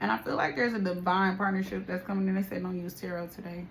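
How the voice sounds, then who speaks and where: Over noticeable background noise and audible room echo, a woman speaks very fast at a fairly low pitch. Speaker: tarot reader. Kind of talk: spiritual reading and casual talk to viewers. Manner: quieter and calmer than usual; casual, repetitive phrasing.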